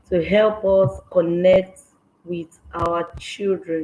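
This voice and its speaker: Loud and at a very slow pace, a woman speaks with medium pitch and fairly even intonation. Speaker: parenting coach. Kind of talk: live online session. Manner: trying to speak loud.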